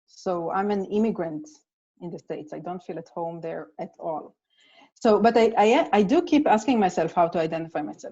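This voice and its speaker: Her pitch sits at a medium level as a woman speaks at a fairly quick pace with an Israeli accent. Her intonation is lively and her loudness swings widely. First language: Hebrew. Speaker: playwright. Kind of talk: casual chat.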